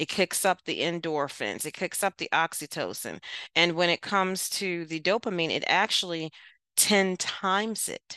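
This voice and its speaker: In an American accent, a woman speaks at a moderate pace and a fairly low pitch with a bright, sharp, warm tone and fairly even intonation, the sound dry and close with no echo against a quiet background. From Baltimore, US. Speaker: mental health counselor and author. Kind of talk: casual chat. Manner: laughs often, warm.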